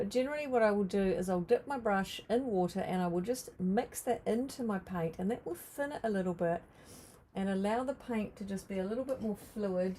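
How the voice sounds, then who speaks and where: In a New Zealand accent, a woman talks at a fairly quick pace with a dark, mellow tone. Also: medium pitch for a woman, ordinary pitch variation. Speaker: art teacher. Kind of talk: live painting tutorial. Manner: casual, hesitant with fillers.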